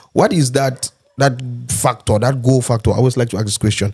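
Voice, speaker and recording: A man's somewhat breathy, dark, mellow voice at medium pitch, with fairly even intonation and a fairly quick pace. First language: not English. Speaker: podcast host. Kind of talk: casual chat.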